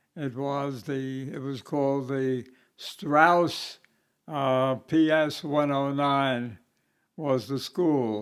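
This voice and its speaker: Recorded very cleanly against a silent background, a man with a New York accent talks at a very slow pace in a fairly high pitch with fairly even intonation. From Brooklyn, New York. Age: 90s. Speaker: navy veteran. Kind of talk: interview answer.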